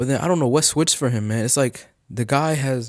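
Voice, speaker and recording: An animated, fairly quick man's voice at medium pitch, with an American accent. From US, Nigerian family. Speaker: YouTube commentator. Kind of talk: casual commentary. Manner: animated, casual slang; halting, repeats words.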